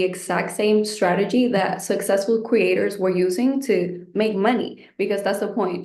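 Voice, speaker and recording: The speaker barely pauses and keeps a fairly even intonation. Noticeable background noise runs underneath. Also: woman. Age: 20s. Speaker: online business creator, course student. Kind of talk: webinar interview.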